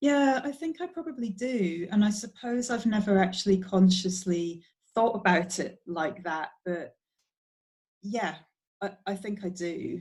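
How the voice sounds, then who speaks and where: The speech comes at a fairly slow pace, somewhat breathy, with lively intonation. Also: woman, medium pitch for a woman. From Middle East (Bahrain), then UK. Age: adult. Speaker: podcast guest. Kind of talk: casual chat.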